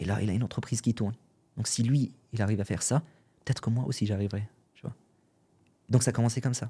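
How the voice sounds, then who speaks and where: On a very clean recording with a silent background, a man with a dark, mellow tone and medium pitch sounds somewhat breathy, talking at a very fast pace with fairly even intonation and long, frequent pauses. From Syria. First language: Arabic (speaking French). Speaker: entrepreneur and podcaster. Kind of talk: podcast interview. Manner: casual, hesitant with fillers.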